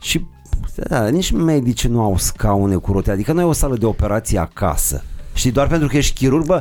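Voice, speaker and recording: A man talks at a fairly quick pace with very wide pitch swings. Music plays in the background. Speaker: podcast host. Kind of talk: casual chat.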